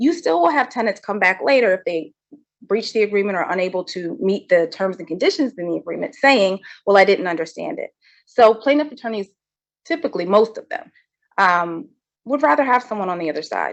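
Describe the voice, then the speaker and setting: A woman at a medium pitch talks fairly quickly, her pitch swinging very widely and her loudness shifting in big swings. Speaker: legal trainer. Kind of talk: legal training lecture. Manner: fast.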